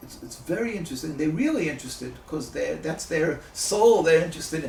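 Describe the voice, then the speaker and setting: A man's voice carries audible room echo. Background noise is noticeable. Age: 60s. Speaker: rabbi and activist. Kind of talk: interview. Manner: halting, many fillers.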